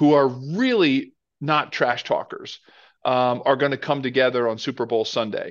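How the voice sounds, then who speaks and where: At a fairly slow pace, a normal speaking voice comes through over a quiet background. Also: man. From Philadelphia, US. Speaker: former NFL player, football pundit. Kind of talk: casual sports chat.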